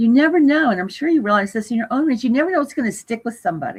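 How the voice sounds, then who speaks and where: Over a quiet background, a woman with a fairly high pitch and some vocal fry speaks at a very fast pace. Her pitch swings very widely. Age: 70s. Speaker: astrologer. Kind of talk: interview.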